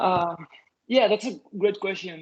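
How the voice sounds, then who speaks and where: In a Spanish accent, a man speaks with a high pitch. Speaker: software engineer, invited lecturer. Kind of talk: Q&A after a lecture. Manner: halting, many fillers and restarts.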